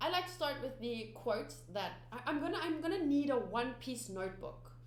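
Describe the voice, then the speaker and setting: Someone with a South African accent speaks at a moderate pace. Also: woman. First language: Afrikaans. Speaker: anime reaction youtuber. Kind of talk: casual vlog chat to viewers. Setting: home studio. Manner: halting, many fillers and restarts.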